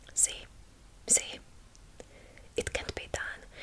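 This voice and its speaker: A woman's very slow whispering in a Hungarian accent, with noticeable background noise. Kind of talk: ASMR book reading. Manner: soft-spoken.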